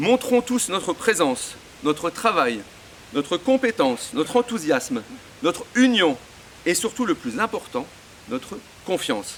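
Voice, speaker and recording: A man with a high pitch and very wide pitch swings, fairly slow, with long, frequent pauses and noticeable background noise. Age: 60s. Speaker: local association president supporting a candidate. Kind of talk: political campaign speech. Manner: hesitant, many fillers and repetitions.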